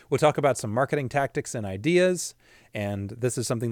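A man with a Pacific Northwest accent in a very clean recording with a silent background. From US Pacific Northwest (Washington State). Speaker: podcast host, marketing business owner. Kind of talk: solo podcast monologue.

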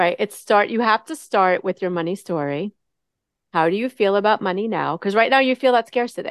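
An ordinary speaking voice with lively intonation moves at a fairly quick pace, recorded with a dry, close sound and no echo. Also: woman, medium pitch for a woman. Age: 50s. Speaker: money coach. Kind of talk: interview.

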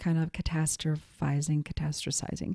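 A woman's fairly low, dark and mellow voice in a monotone, flat intonation, with an American accent, on a very clean recording against a silent background. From Montana. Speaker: podcast host and intuitive coach. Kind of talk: solo podcast teaching talk. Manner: casual with many filler words.

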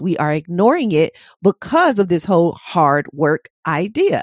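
A woman's ordinary speaking voice, fairly low in pitch, with an American accent and a fairly slow pace, in a dry, close sound with no echo against a quiet background. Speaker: podcast host and hypnotherapist. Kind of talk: interview conversation.

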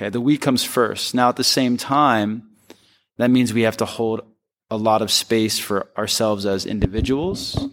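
A man with a normal speaking voice talks at a moderate pace and medium pitch. Pitch variation is ordinary, and the recording is very clean with a silent background. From US East Coast, Philadelphia. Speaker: wellness business owner and yoga teacher. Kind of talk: interview conversation.

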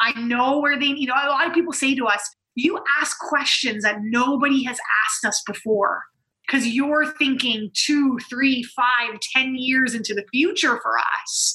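In an American accent, the speaker uses a raised, projected voice with an energetic tone at a fairly slow pace. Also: woman, high pitch for a woman, ordinary pitch variation. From USA. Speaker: business coach and nurse. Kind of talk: interview storytelling.

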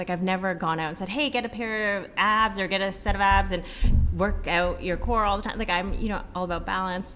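Noticeable background noise surrounds a woman speaking at a fairly quick pace. Her pitch is medium, with ordinary variation. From Filipino background. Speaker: fitness entrepreneur. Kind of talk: casual interview. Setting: hotel.

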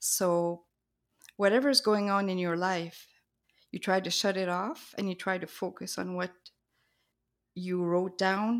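At a fairly slow pace, a woman speaks with a French Canadian accent, medium pitch and ordinary pitch variation. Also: very clean recording, silent background. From New Brunswick, Canada (French-speaking). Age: 50s. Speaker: artist. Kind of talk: interview.

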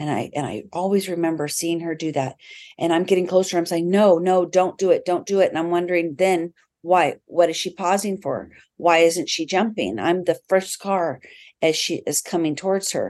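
A woman with an American accent speaks at a moderate pace, her pitch fairly low and her intonation fairly even, in an unremarkable speaking voice. The background is quiet. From Washington State, US (South Snohomish County). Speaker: nonprofit executive director, former firefighter and Air Force veteran. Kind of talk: interview.

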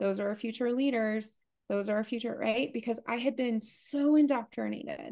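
A woman with an American accent and an unremarkable speaking voice talks at a moderate pace, her fairly high pitch showing ordinary variation over a quiet background. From US, partly Appalachia. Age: 40s. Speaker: leadership coach. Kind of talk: interview conversation.

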